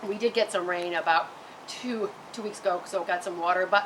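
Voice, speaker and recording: Noticeable background noise accompanies a woman's speech. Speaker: gardening video host. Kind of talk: tutorial. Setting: outdoors in garden, on a roof. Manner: halting, frequent stutters and repeats; loud.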